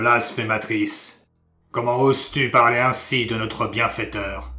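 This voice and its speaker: A man's put-on character voice, raspy and at medium pitch, delivered at a fairly slow pace. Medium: audio drama. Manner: angry, scolding.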